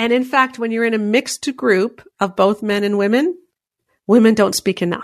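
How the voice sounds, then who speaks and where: A woman with an ordinary speaking voice and a Canadian accent talks at a moderate pace, her fairly high pitch showing ordinary variation. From Canada. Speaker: author and speaker. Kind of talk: interview.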